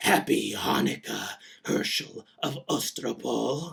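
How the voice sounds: This is a put-on character voice, raspy in sound. It moves at a fairly slow pace. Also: man.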